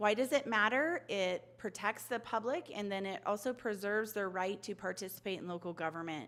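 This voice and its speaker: A woman talks at a fairly quick pace with a medium pitch and hardly any pauses. Her intonation is lively. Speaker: city staff presenter. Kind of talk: training presentation. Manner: fast.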